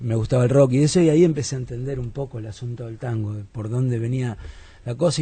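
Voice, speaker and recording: A man speaks very fast at medium pitch, with fairly even intonation. His tone is dark and mellow, and somewhat breathy. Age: 50s. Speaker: philosopher and musician. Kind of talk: radio interview.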